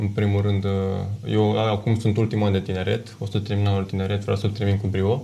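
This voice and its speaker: In light background noise, a man talks at a fairly quick pace in a fairly low pitch, his intonation monotone and flat and his loudness very even. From Romania, Drajna, Călărași county; Romania. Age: 20s. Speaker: rower; guest. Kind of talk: TV studio interview. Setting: TV studio. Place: studio. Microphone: lapel.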